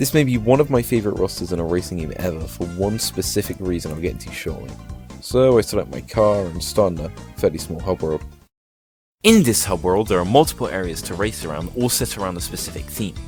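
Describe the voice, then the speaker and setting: Music plays in the background as a man talks at a very fast pace. His pitch is very deep and low, with very wide swings. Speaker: game reviewer. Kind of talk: video game review narration.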